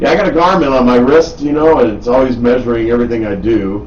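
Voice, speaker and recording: In an American accent, a man talks against noticeable background noise and audible room echo. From Wisconsin, Milwaukee. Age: 60s. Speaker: radio host. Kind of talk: casual chat. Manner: animated.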